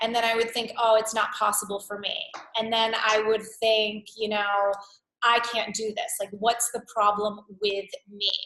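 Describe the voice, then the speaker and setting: An animated tone at a fairly slow pace. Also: woman. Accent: New York. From New York. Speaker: wellness coach. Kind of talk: live webinar workshop. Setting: live webcast.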